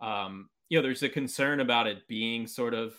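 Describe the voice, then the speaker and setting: A man with a normal speaking voice talks at a fairly quick pace. His pitch varies in an ordinary way. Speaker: baseball podcast host. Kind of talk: casual interview chat.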